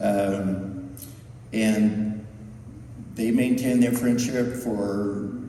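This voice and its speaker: Over noticeable background noise and audible room echo, a man speaks in a fairly low pitch with monotone, flat intonation. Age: 60s. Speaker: family friend giving a eulogy. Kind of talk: eulogy. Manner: halting.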